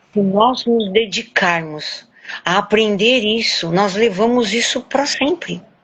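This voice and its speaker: A woman at a fairly high pitch and very slow pace, with noticeable background noise. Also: ordinary pitch variation. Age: 70s. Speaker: weight-loss program student, journalist. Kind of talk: interview testimony. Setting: recorded live stream.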